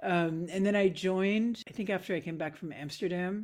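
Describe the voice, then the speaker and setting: A woman with a Canadian accent has a normal speaking voice, fairly low in pitch, with fairly even intonation. She talks at a fairly quick pace on a very clean recording with a silent background. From Nova Scotia, Canada (Halifax). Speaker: composer. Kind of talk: interview conversation.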